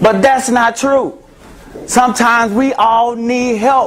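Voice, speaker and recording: Loud and animated, a man with a Memphis accent speaks at a fairly slow pace over noticeable background noise. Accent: Southern US (Memphis). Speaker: therapist. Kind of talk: talk to an audience.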